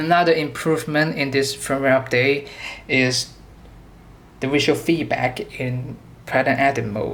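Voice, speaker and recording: The speaker, with a non-native accent, goes at a fairly slow pace and leaves long, frequent pauses. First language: not English. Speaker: product demonstrator for a synth maker. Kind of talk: product tutorial demo. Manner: halting, self-correcting.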